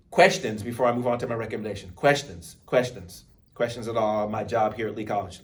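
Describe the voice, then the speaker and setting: A man talks very fast with a somewhat breathy, medium-pitched voice, ordinary pitch variation and an American accent. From Texas, Baytown. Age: 50s. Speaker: college speech instructor. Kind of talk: lecture.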